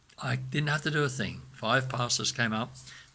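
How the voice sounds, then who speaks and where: A man talks at a moderate pace with very wide pitch swings, vocal fry and a bright, sharp tone. The recording is very clean, with a silent background. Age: 70s. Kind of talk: testimony. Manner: halting.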